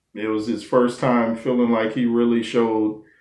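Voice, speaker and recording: The background is quiet. Room echo can be heard. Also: man. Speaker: commentator. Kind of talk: casual commentary on a TV show. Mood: warm, reflective. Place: home room. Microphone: webcam.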